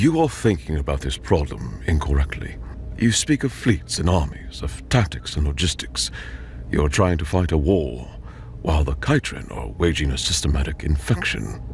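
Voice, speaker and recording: In a put-on character voice, a man sounds soft-spoken and resonant, pitched very deep and low, at a moderate pace. Clear background noise sits behind him. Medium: read story. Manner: clinical, detached.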